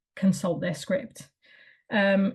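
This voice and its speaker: The speech is somewhat breathy and fairly slow. The intonation stays fairly even. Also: woman. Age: adult. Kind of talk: presentation. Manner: monotone; hesitant with fillers.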